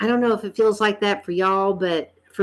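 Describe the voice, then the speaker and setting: A woman speaks at a medium pitch with a North Carolina accent. The recording is very clean, with a silent background. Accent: Southern US (North Carolina). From US South, North Carolina. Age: 50s. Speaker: vlogger. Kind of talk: casual chat. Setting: live stream.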